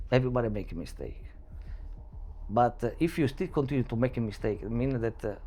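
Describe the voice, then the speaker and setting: Speaking with an Italian accent, a man uses a medium-pitched, dark, mellow voice with vocal fry, a fairly quick pace and ordinary pitch variation. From Italy, Sicily. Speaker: security entrepreneur, former military. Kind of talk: interview. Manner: halting.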